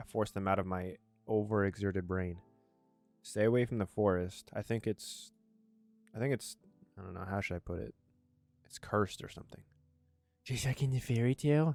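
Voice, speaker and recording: A man at a fairly low pitch and fairly quick pace, with ordinary pitch variation and long, frequent pauses, in a dry, close sound with no echo and music in the background. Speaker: gaming video creator. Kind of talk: let's play reading of a visual novel with commentary. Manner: fast, some stuttering.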